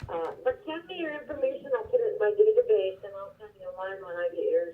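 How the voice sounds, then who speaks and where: A woman's high voice at a very fast pace, with big swings in loudness, very wide pitch swings and noticeable background noise. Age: 60s. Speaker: real estate agent. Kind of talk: casual phone chat.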